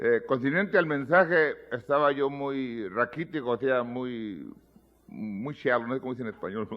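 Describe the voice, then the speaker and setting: The man's intonation is lively. His pace is fairly slow. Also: medium pitch for a man. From US, Mexican American (pocho). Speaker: pastor. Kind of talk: sermon. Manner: halting, repeats words.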